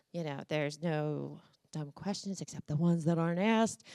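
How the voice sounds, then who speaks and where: A woman in a very clean recording, silent background, with a dry, close sound and no echo. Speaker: conference speaker. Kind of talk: live conference talk to an audience. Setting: live event with audience. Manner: energetic, conversational, direct.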